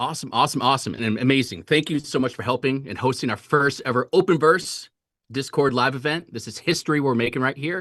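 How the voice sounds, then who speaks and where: Over a quiet background, a man talks at a very fast pace with medium pitch, ordinary pitch variation, and an energetic tone. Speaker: brand representative hosting livestream. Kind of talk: livestream announcement. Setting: livestream.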